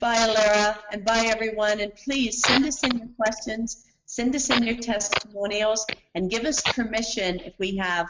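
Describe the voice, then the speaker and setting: Fairly high in pitch, a woman speaks in a plain, everyday voice. Her pace is moderate. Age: 60s. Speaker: skincare product formulator. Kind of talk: training webinar Q&A.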